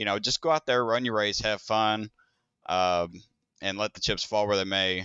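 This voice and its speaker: Using a plain, everyday voice, a man speaks at a moderate pace with a fairly low pitch and ordinary pitch variation. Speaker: race car driver and team owner. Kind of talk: interview.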